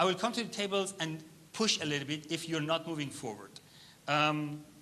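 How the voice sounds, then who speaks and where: A bright, sharp tone with ordinary pitch variation and audible room echo. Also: man, fairly high pitch for a man, fairly quick pace. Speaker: workshop facilitator, startup founder. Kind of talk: workshop instruction. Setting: conference hall with audience at tables. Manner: fast.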